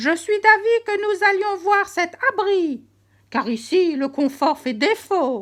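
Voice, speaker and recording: A woman speaks in a put-on character voice at an extremely high pitch. Her pace is fairly slow. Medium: read story.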